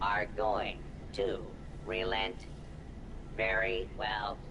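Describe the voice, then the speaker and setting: A put-on character voice over loud background noise. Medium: machinima. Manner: formal, cold, officious.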